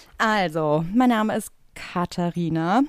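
Lively in intonation, the woman's voice comes through a very clean recording with a silent background and a dry, close sound with no echo. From Ruhr area, Germany (Bottrop). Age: 30s. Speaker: podcast co-host, tattoo artist. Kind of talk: casual chat.

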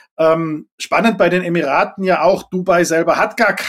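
A man with a high-pitched voice. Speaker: environmental foundation executive, former politician. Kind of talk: interview.

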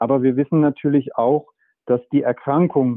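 This man has an unremarkable speaking voice, and he talks at a fairly high pitch and a moderate pace. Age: 40s. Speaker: medical doctor and author. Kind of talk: interview. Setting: remote connection.

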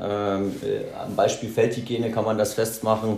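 Amid noticeable background noise and audible room echo, a man speaks very slowly at a fairly low pitch in a monotone, flat intonation. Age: 40s. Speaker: army officer. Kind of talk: interview. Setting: on location at military base. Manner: halting, many filler sounds.

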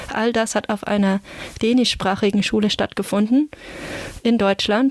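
A woman's fairly high voice in a flat monotone at a moderate pace, dry and close with no echo, over noticeable background noise. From northern Germany, near Flensburg. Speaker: Bible translation consultant. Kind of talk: interview.

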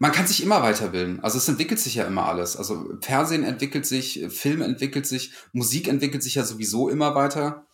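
Rattling along at a very fast pace with hardly any pauses, a man speaks with fairly high pitch, lively intonation and vocal fry. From Lower Rhine region, Germany, near Dutch border. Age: 30s. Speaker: freelance video editor. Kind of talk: casual interview chat.

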